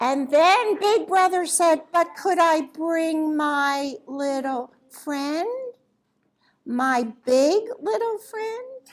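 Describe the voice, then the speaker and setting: Using a put-on character voice, a woman speaks at a very slow pace with extremely high pitch. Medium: read story.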